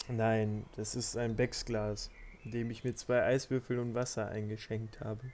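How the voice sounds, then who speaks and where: Flat, monotone intonation carries words delivered at a fairly slow pace. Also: man, medium pitch for a man. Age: 20s. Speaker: podcast guest, hosts' brother. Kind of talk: casual chat.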